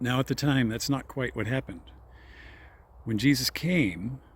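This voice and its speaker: A man at a medium pitch talks with vocal fry. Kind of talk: informal religious talk. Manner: slow, deliberate; hesitant, self-correcting.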